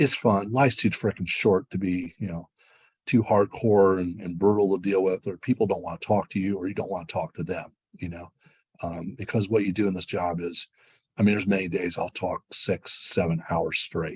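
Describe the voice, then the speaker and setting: A man with a very deep, low voice speaks at a moderate pace, recorded with a dry, close sound and no echo. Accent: American. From US Midwest, western Ohio. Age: 60s. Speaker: sports streaming executive. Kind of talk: interview. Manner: animated.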